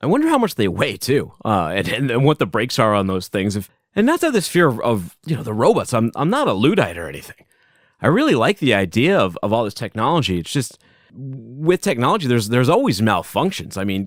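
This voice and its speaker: On a very clean recording with a silent background, a man at medium pitch talks very fast with very wide pitch swings. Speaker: podcast host. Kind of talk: solo podcast monologue. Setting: home basement. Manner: casual, conversational.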